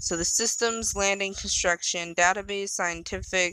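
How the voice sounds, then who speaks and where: An unremarkable speaking voice, a woman at medium pitch and moderate pace with fairly even intonation. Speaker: gaming streamer. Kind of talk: let's play commentary with reading game text aloud. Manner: casual, chatty.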